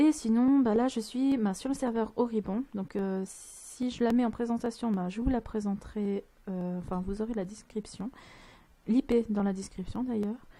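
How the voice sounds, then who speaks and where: Soft-spoken and somewhat breathy, a woman talks at a fairly slow pace with a fairly high pitch, fairly even intonation and a dark, mellow tone. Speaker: gaming youtuber. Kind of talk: let's play commentary. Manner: hesitant. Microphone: mic kept far from mouth, volume not set.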